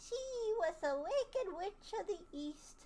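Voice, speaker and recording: In a squeaky put-on character voice, a woman speaks with a gentle tone at an extremely high pitch, with very wide pitch swings and a fairly slow pace. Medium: read story. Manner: sweet, gentle.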